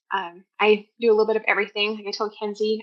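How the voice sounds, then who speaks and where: Speaking at a very fast pace, a woman talks with a South Dakota accent. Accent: South Dakota, long O. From US Midwest, West River South Dakota. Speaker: homeschooling mother, podcast guest. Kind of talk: interview, casual chat.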